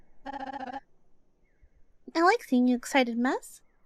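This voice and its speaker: A put-on character voice from a female-sounding speaker, high-pitched and at a fairly slow pace. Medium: game stream. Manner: soft, warm, giggly, hesitant.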